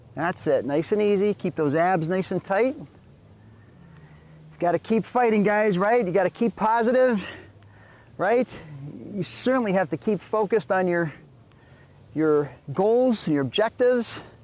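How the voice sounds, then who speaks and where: With an animated tone and lively intonation, a man at a high pitch talks at a moderate pace with long, frequent pauses, the sound dry and close with no echo. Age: 60s. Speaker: fitness instructor. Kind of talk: workout instruction. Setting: outdoors on a beach. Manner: encouraging, animated.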